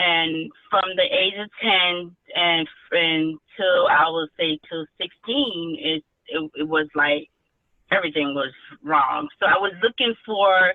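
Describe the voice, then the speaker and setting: Speaking very slowly, a woman uses a fairly low pitch with ordinary pitch variation. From Haiti, moved to US at ten. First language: Haitian Creole or French. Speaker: author. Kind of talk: interview. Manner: halting, many fillers and restarts.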